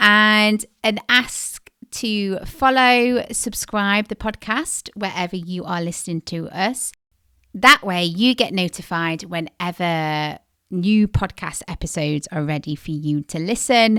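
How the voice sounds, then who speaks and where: Recorded very clean, dry and close with no echo against a silent background, a woman speaks at a very slow pace with lively intonation, a medium pitch and a bright, sharp tone. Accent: British. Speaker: podcast co-host.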